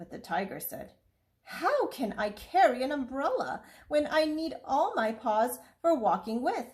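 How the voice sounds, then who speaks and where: High-pitched put-on character voice from a woman, moderate in pace. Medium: read story. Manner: gruff, boastful.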